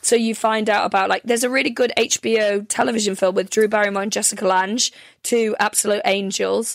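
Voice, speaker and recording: Fairly quick and fairly even in intonation, a woman with a North Welsh accent speaks at a fairly high pitch in a dry, close sound with no echo. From North Wales. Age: 30s. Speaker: comedian. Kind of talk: casual chat. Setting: video call.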